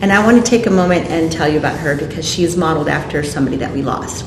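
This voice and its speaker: Amid noticeable background noise and audible room echo, a woman talks at a very fast pace, her fairly low pitch showing ordinary variation. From Colorado, US (Mexican parents). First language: Spanish. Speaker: military veteran, children's author. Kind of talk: oral history interview. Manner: animated.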